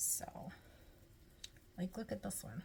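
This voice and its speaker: Vocal fry at a fairly slow pace. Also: woman. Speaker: home cooking vlogger. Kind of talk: cooking tutorial. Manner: animated; whispering briefly.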